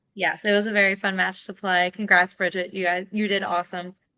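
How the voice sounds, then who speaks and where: Putting on a raspy character voice, a woman speaks fairly quickly at medium pitch in a flat monotone. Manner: trying to sound excited and peppy.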